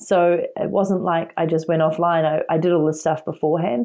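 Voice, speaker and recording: The voice has a dark, mellow tone and a New Zealand accent. It moves at a fairly quick pace with monotone, flat intonation. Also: woman. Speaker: entrepreneur and author. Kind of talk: interview.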